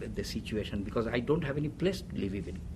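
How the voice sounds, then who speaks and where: A man with a Bengali accent shows vocal fry and very wide pitch swings, with audible room echo around him. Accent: Indian (Bengali) English. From India, Calcutta (Bengali). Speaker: retired chemical engineer, immigrant. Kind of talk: oral history interview. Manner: halting.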